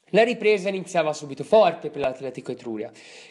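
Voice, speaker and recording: Against a quiet background, a man speaks at a high pitch with very wide pitch swings. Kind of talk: sports commentary. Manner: formal, steady play-by-play recap in past tense; brisk, matter-of-fact, reading off minute-by-minute events.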